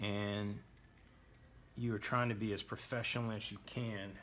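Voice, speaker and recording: With flat, monotone intonation, a man talks in a fairly low voice. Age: 60s. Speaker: drafting instructor. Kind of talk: tutorial. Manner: casual, conversational.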